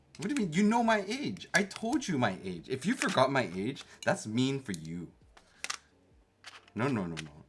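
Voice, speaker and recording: Over noticeable background noise, a man at a medium pitch speaks at a moderate pace with very wide pitch swings. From Canada. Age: 30s. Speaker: keyboard streamer. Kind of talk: casual livestream chat. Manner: animated.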